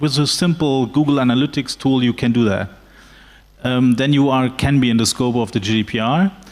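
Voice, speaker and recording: Talking at a fairly quick pace, a man with a German accent has a medium pitch and ordinary pitch variation. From Germany. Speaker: lawyer. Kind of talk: panel discussion. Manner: halting, many fillers.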